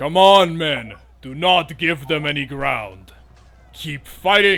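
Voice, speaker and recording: Someone in a put-on character voice talks at a fairly slow pace with lively intonation. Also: man, fairly high pitch for a man. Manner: commanding, rallying.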